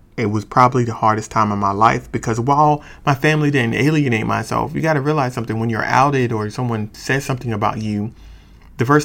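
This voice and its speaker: A man at medium pitch with ordinary pitch variation and a fairly quick pace. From US, small town. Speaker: podcaster. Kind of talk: personal storytelling monologue. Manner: hesitant, filler-heavy.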